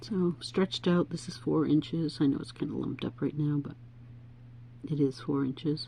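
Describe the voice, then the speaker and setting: At a moderate pace, a woman speaks with vocal fry and a dark, mellow tone at a very deep, low pitch, with ordinary pitch variation. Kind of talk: tutorial. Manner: casual, chatty.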